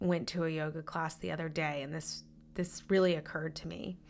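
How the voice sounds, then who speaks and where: A woman talks at a fairly quick pace with fairly even intonation. Her voice is fairly low, with vocal fry. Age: 30s. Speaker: podcast host. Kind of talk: solo podcast monologue.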